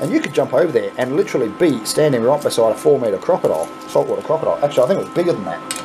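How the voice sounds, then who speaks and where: A man with an Australian accent talks at a very fast pace with hardly any pauses. Music plays in the background. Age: 40s. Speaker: YouTuber playing coin pusher game. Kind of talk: casual gameplay commentary; storytelling. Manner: animated. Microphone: phone near.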